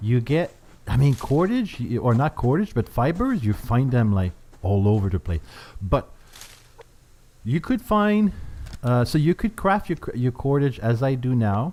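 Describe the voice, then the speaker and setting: A man with a Quebec accent, medium pitch and a dark, mellow tone, at a fairly slow pace with very wide pitch swings, very even loudness and long, frequent pauses. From Canada. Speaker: gaming YouTuber. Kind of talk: gameplay commentary. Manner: hesitant, many fillers.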